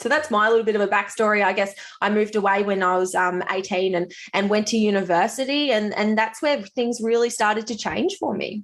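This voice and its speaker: With a strong Australian accent, a woman talks fairly quickly at a fairly high pitch with ordinary pitch variation. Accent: strong rural Australian. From Australia, rural Victoria (Swan Hill, Mallee). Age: 20s. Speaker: nurse, midwife and fitness coach. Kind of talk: podcast interview. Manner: casual, chatty.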